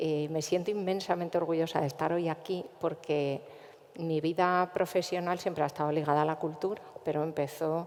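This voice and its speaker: A woman with a Castilian accent and a fairly low pitch speaks at a moderate pace. Her intonation is monotone and flat, and her loudness is very even. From central Spain, Cuenca. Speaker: cultural manager. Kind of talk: panel discussion.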